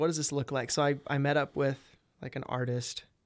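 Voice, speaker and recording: Here a man with an American accent talks at a moderate pace and a fairly high pitch. His intonation is a flat monotone, on a very clean recording with a silent background. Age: 20s. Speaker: musician and real estate wholesaler. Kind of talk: casual interview chat.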